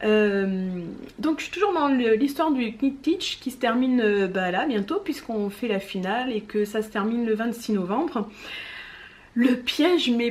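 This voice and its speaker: A woman's fairly high, lively voice at a fairly slow pace. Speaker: knitting vlogger. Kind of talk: casual chat.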